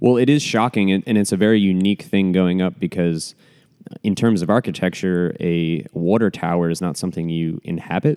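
With ordinary pitch variation, the delivery runs at a fairly quick pace. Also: man, very deep, low pitch for a man. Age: 20s. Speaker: podcast host, architect. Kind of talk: casual chat.

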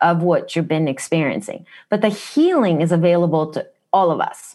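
Against a quiet background, a woman with a Japanese accent speaks at a moderate pace in a fairly low pitch. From Japan, Kumamoto (Kyushu). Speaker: wellness practitioner. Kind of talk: interview. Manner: direct, blunt.

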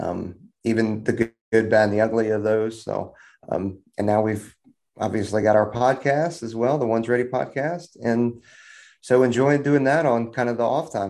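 A man talks in an ordinary speaking voice at a moderate pace. His pitch is medium, with ordinary variation. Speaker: combat controller. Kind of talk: casual chat. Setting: video call.

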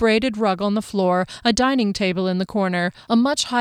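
Someone is reading aloud in a natural voice, and the pitch varies in an ordinary way.

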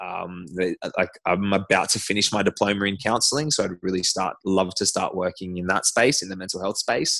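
Against a quiet background, a speaker with an Australian accent and a bright, sharp tone moves at a moderate pace with hardly any pauses and ordinary pitch variation. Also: man, fairly low pitch for a man. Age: 30s. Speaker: CrossFit athlete. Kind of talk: casual interview.

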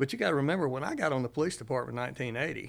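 A man with a Mississippi accent speaks at medium pitch with ordinary pitch variation, recorded very cleanly with a silent background. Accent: Mississippi Southern. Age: 60s. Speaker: retired judge. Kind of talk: casual chat. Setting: studio.

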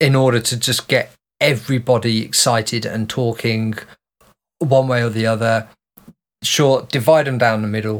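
A man with a Birmingham accent speaks at a moderate pace and medium pitch, with fairly even intonation and long, frequent pauses, on a very clean recording with a silent background. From Birmingham, England. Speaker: podcast co-host. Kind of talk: casual chat.

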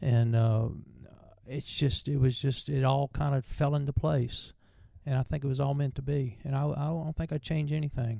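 With a Southern US accent, a somewhat breathy voice in a dark, mellow tone keeps a moderate pace and fairly even intonation in a very clean recording with a silent background. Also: man, fairly high pitch for a man. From Virginia, US. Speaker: bluegrass bandleader and mandolin player. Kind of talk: casual interview, storytelling. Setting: convention interview.

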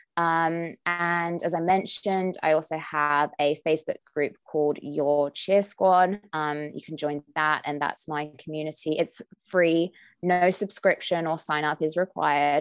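Spoken with an English accent at a fairly slow pace, the voice stays monotone and flat, with a dry, close sound, no echo and a quiet background. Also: woman, very deep, low pitch for a woman. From England. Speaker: nutritionist and wellness coach. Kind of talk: interview.

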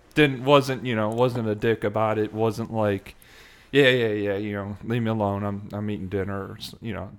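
Speaking with an American accent, a man with a plain, everyday voice keeps a fairly low pitch, fairly even intonation and a moderate pace, though his loudness swings widely. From Chicago suburbs, US Midwest. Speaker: hockey enthusiast. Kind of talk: casual chat. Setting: in person.

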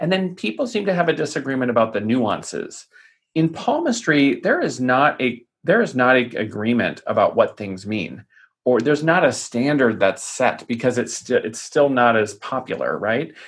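Here is an unremarkable speaking voice: a man at medium pitch and a moderate pace, with lively intonation. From US Southwest (Tucson, Arizona). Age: 40s. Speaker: palm reader. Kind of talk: podcast interview.

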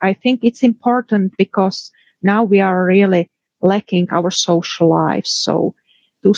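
A woman with a Czech accent speaks at a fairly slow pace, medium pitch and a dark, mellow tone. The recording is dry and close with no echo. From Czech Republic. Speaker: pathologist and professor. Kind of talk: interview.

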